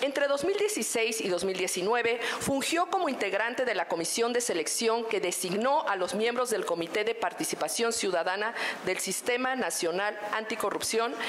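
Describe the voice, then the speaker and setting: A normal speaking voice moves at a fairly slow pace with lively intonation and very even loudness. There are hardly any pauses, and light background noise. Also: woman, fairly high pitch for a woman. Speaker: panel moderator. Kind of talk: moderated panel discussion. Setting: stage with audience. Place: hall. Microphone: podium.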